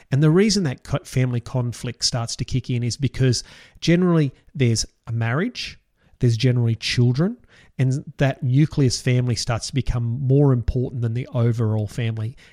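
A man with an Australian accent talks at a fairly quick pace in a medium pitch with a dark, mellow tone. The very clean recording has a silent background and a dry, close sound with no echo. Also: ordinary pitch variation. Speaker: financial advisor podcast host. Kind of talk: solo podcast talk.

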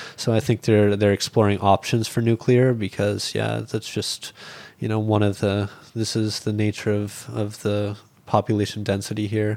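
Flat, monotone intonation carries a Canadian accent at a moderate pace. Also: man, fairly low pitch for a man. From rural Canada. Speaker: school teacher and animal charity founder. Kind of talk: casual interview. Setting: hotel room.

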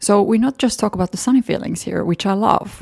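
In a very clean recording with a silent background and a dry, close sound with no echo, a woman with a Finnish accent talks with ordinary pitch variation. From Finland. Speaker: podcast host and fashion model. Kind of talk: solo podcast monologue.

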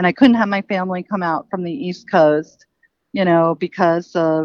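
A woman with an American accent and a normal speaking voice, fairly low in pitch, fairly slow, with ordinary pitch variation. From Queens, New York City. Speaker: nonprofit founder. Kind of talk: interview.

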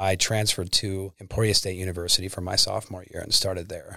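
A man with a Midwestern American accent speaks at a fairly quick pace in a very deep, low voice with monotone, flat intonation. The recording is very clean with a silent background, and the sound is dry and close with no echo. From Kansas. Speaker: former prisoner and pro fighter. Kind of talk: testimony.

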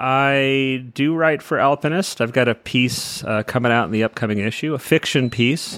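A man with an American accent uses a plain, everyday voice at medium pitch, with ordinary pitch variation, hardly any pauses, and a dry, close sound with no echo. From California. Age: 50s. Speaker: author and climber. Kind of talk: casual chat.

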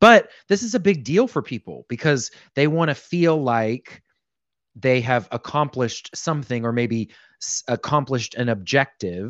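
In a plain, everyday voice, a man speaks at a medium pitch. He keeps a moderate pace with lively intonation. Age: 30s. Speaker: financial advisor. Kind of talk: casual chat.

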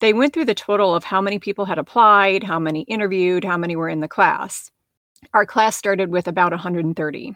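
Speaking at a very fast pace with an American accent and ordinary pitch variation, the voice sounds dry and close with no echo over a quiet background. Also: woman, medium pitch for a woman. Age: 50s. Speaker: podcast host, physician and life coach. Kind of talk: solo podcast monologue.

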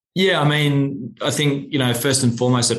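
The speaker has an Australian accent and a fairly quick pace. Intonation stays fairly even. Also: man. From Australia, Sydney. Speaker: wine company general manager. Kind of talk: interview.

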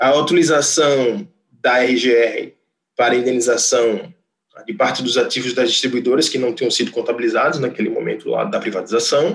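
Here is a man with a plain, everyday voice at a medium pitch. His pace is moderate and his pitch variation ordinary. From Brazil, Rio Grande do Norte. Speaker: electrical engineer, energy sales manager. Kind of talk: interview.

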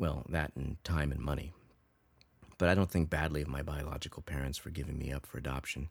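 On a very clean recording with a silent background, the speaker goes at a fairly quick pace with fairly even intonation and vocal fry, in a General American accent. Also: man, very deep, low pitch for a man. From Los Angeles, US. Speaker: podcast host. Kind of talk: personal storytelling monologue.

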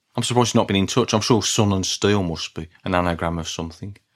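A man in a Birmingham accent at a very fast pace. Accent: Brummie. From Birmingham, England. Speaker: podcast host, music fan. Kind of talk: solo podcast monologue.

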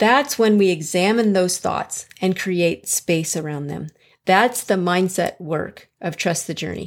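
A woman with an American accent and a plain, everyday voice speaks at medium pitch and a fairly slow pace, with ordinary pitch variation. The recording is very clean, with a silent background. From US Midwest, Chicago. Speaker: weight loss coach and podcast host. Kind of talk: solo podcast monologue, coaching advice.

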